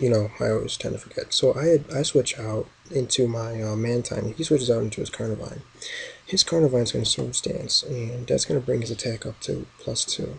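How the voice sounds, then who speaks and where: A man speaks quietly. His pace is fairly quick. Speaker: gaming youtuber. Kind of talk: game commentary. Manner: quiet, subdued. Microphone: new laptop mic.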